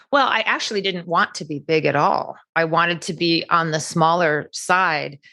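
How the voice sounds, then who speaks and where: With hardly any pauses, a woman talks at a fairly low pitch in a bright, sharp tone. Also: ordinary pitch variation, moderate pace, quiet background. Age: 60s. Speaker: cosmetic surgery patient. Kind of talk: interview.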